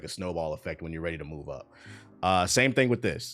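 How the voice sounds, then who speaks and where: This man talks. His pace is very fast. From Washington DC. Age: 30s. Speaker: gaming streamer. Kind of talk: live stream chat. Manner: casual, filler-heavy.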